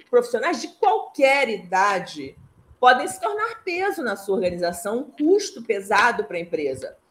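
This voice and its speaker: Her pitch swings very widely and sits high. This woman talks at a fairly slow pace. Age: 60s. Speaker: mentor and IT consultant. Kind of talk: casual interview. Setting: live stream.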